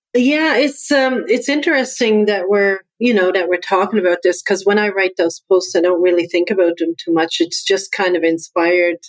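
A woman speaks at a moderate pace with lively intonation, very even loudness and hardly any pauses. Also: medium pitch for a woman. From Newfoundland, Canada. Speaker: business coach and veteran. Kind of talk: interview.

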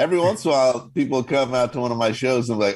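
The man's voice lands at a medium pitch. Clear background noise surrounds it. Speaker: comedian. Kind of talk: casual chat.

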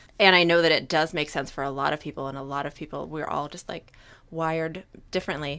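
Recorded very cleanly over a silent background, a woman with a fairly low pitch talks in a normal speaking voice at a fairly quick pace. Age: 30s. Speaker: therapist. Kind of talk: casual chat.

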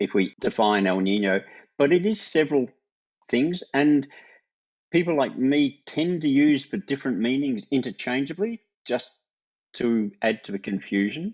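A man speaks with an Australian accent at a fairly slow pace. His pitch swings very widely, and the sound is dry and close with no echo. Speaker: retired climate scientist, emeritus professor. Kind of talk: interview.

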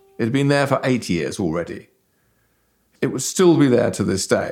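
At a moderate pace, a man speaks with very wide pitch swings as music plays behind him. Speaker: BBC journalist. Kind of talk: interview commentary.

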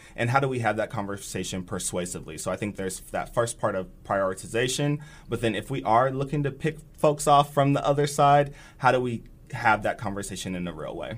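With an American accent and an ordinary speaking voice, a man speaks at a medium pitch and fairly quick pace, his intonation lively. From Nebraska, Bellevue. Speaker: community organizer. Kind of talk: interview. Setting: studio.

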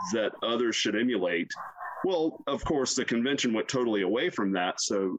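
This man speaks with a Southern US accent. His pitch swings very widely. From US South, South Carolina. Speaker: university chaplain. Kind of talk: casual interview.

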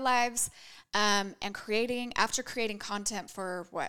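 A woman with an American accent speaks in a fairly high pitch, her tone bright, sharp and animated, on a very clean recording with a silent background. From Idaho (Boise). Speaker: podcast host, content creator. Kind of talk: casual chat.

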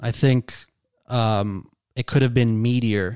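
Very slowly and at a fairly low pitch, a man with a Toronto accent speaks in a very clean recording with a silent background. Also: dry, close sound with no echo. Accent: Canadian (Toronto). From Canada, Toronto. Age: 20s. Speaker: YouTuber and stand-up comedian. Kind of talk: casual chat. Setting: home garage studio.

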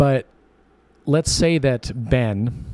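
The man's tone is dark and mellow, and his pitch varies in an ordinary way. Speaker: podcast co-host. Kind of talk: casual chat.

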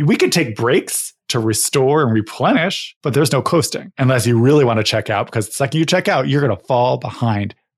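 A man with an American accent, at a fairly quick pace, medium-pitched and somewhat breathy, with ordinary pitch variation. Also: very clean recording, silent background. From US Northeast (Connecticut). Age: 40s. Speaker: podcast host and coach. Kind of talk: interview, casual chat.

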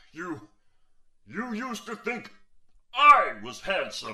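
In a put-on character voice, a man speaks at a very slow pace and a high pitch. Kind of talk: comic overacting. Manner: blustering, commanding, then sulky.

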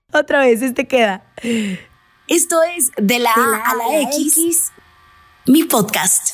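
A woman speaks at a very slow pace in a high voice, with ordinary pitch variation and long, frequent pauses. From Mexico, Sonora (Navojoa). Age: 20s. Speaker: radio presenter and podcaster. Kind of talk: personal monologue podcast.

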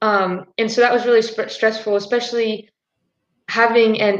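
In an American accent, the speaker talks at a moderate pace with monotone, flat intonation. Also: woman. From United States. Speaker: university soccer player. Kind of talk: live stream discussion.

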